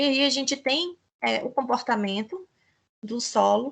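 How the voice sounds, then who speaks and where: Her pitch high for a woman, the speaker varies it in an ordinary way. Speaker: teacher. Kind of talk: lecture.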